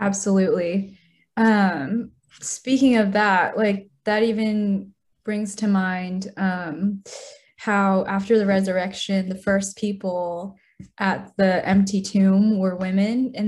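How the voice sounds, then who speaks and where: Somewhat breathy and medium in pitch, a woman speaks at a fairly slow pace. Her intonation is fairly even. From Utah, US. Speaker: guest on faith podcast. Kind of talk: casual chat.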